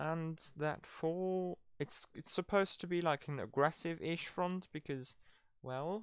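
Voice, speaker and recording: Very slow speech in a non-native accent. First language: not English. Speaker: gaming streamer. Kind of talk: casual live-stream commentary. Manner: halting, filler-heavy.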